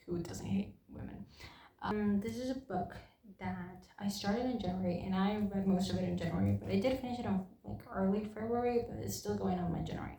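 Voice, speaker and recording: In a non-native accent, a woman speaks at a fairly quick pace. There is noticeable background noise and audible room echo. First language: not English. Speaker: book reviewer. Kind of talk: casual chat. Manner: halting.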